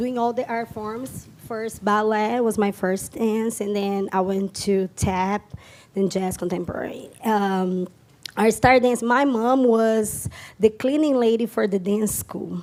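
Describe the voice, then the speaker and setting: Fairly slow, fairly even speech in a strong Brazilian accent. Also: woman, fairly high pitch for a woman. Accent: Brazilian Portuguese, thick. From Brazil, São Paulo area. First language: Portuguese. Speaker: tap dancer and dance teacher. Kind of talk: stage interview. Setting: stage with audience.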